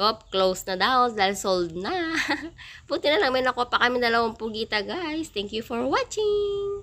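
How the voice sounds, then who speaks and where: A woman speaks at a moderate pace with a bright, sharp tone. Her intonation is lively. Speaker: vlogger. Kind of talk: casual vlog narration.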